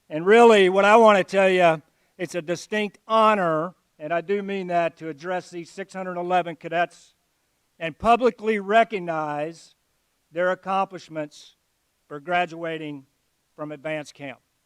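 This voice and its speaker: In an Alabama accent, a man with a high pitch and fairly even intonation talks with big swings in loudness, recorded dry and close with no echo in a very clean recording with a silent background. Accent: US Southern (Alabama). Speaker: army general, guest speaker. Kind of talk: ceremonial speech. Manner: slow.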